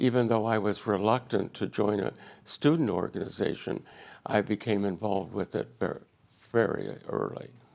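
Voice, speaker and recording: A man with an American accent and vocal fry speaks at a moderate pace, his fairly low pitch showing ordinary variation. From western Pennsylvania. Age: 80s+. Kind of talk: interview conversation.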